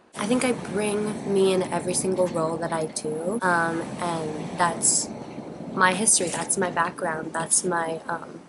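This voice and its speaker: A woman's fairly even intonation at a fairly slow pace, with noticeable background noise and audible room echo. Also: fairly low pitch for a woman. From Hawaii. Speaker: acting student. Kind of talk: interview.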